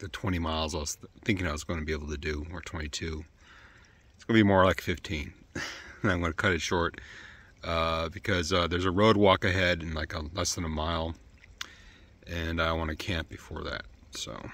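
A man's very deep, low voice at a fairly quick pace, fairly even in intonation, in a dry sound with no echo. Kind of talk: casual vlog chat.

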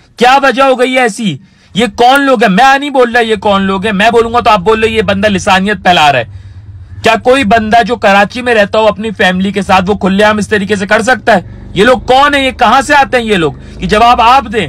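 Sound is dry, with no echo. The pace is moderate and pitch varies in an ordinary way. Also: man, high pitch for a man. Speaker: vlogger giving his opinion. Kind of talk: angry opinion rant to camera. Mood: angry, indignant. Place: car. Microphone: phone near.

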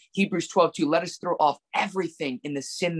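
Against a quiet background, a man talks at a very fast pace. His pitch is high, with ordinary variation. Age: 20s. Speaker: preacher; guest. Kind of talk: casual chat. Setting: video call. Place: home room. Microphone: video call.

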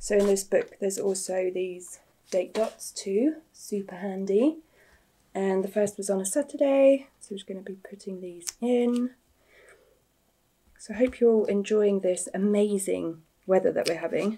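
Medium-pitched speech from a woman, dark and mellow in tone, with ordinary pitch variation and a fairly slow pace

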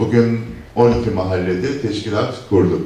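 With faint music in the background and audible room echo, a man speaks at a fairly slow pace with fairly even intonation. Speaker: local party chairman. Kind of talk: political speech. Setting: meeting hall with audience. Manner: formal. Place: hall.

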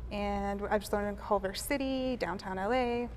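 A woman talks at a moderate pace in an American accent. Light background noise sits beneath her. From grew up in Pakistan, Vietnam and the US. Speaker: painter; guest. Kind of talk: casual interview. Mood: relaxed, thoughtful. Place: studio. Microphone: lapel.

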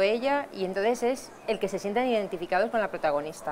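The pitch varies in an ordinary way. There is light background noise. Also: woman. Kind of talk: interview answer. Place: hall.

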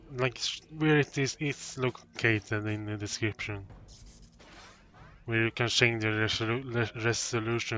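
Over music in the background, a man at medium pitch speaks at a fairly slow pace. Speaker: gaming commentator. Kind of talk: let's play commentary. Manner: halting, stammering.

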